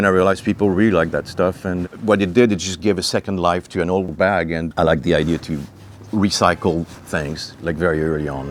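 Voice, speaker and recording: A man speaks with a French accent at a fairly quick pace. His pitch is very deep and low. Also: fairly even intonation. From France. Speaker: clothing designer. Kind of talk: interview. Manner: halting.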